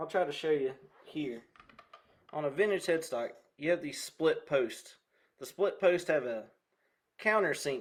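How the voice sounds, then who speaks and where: This man talks at a fairly slow pace, with long, frequent pauses. His pitch is fairly high, with ordinary variation, and he has a Southern US accent. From US South (Carolinas). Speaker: guitar content creator. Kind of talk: casual livestream chat while restringing a guitar. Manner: casual, chatty.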